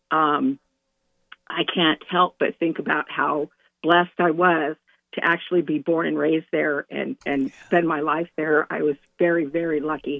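Speaking at a moderate pace with an American accent, a woman uses a very deep, low pitch and fairly even intonation. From central California. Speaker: caller. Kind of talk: call-in chat.

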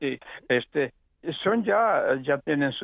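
This man's voice sits fairly high. His pitch swings very widely. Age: 80s+. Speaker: caller. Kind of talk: call-in testimony. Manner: halting.

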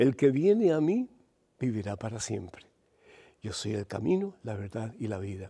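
A man with a dark, mellow tone and medium pitch talks at a moderate pace with lively intonation. His loudness swings widely, and he takes long, frequent pauses. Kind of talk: preaching, sermon-like teaching with live call-in questions. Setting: studio, TV and radio program. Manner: fervent, exhortative, warm, preacher in full flow.

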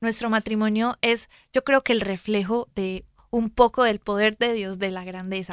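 In a Colombian accent, the speaker talks at a fairly slow pace in an animated tone, with a dry, close sound and no echo. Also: woman. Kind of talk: casual chat. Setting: studio.

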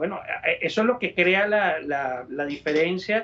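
A man talks in a high-pitched voice. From Venezuela. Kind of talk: interview. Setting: studio. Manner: halting, with frequent repetitions.

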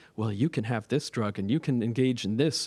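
A man with a Canadian accent has a normal speaking voice and ordinary pitch variation. He talks at a fairly quick pace in a very clean recording with a silent background. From Nova Scotia, Canada. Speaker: priest, audience member asking question. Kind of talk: audience question.

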